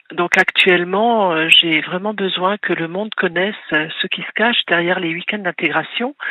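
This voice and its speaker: A woman has an unremarkable speaking voice at medium pitch. She moves at a moderate pace with hardly any pauses and fairly even intonation. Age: 60s. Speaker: caller, bereaved mother and author. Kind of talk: radio call-in testimony. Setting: phone call to radio.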